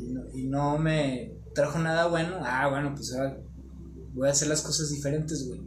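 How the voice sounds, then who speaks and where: Audible room echo and noticeable background noise surround this recording. A man speaks at a moderate pace. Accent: Mexican. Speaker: guest on spiritual talk show. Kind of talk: casual chat.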